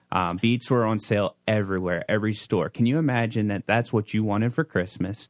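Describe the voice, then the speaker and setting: Speaking at a fairly quick pace, a man with an ordinary speaking voice holds a very even loudness at a fairly low pitch with ordinary pitch variation, recorded very cleanly against a silent background in a dry, close sound with no echo. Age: 30s. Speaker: youth pastor. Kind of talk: casual chat.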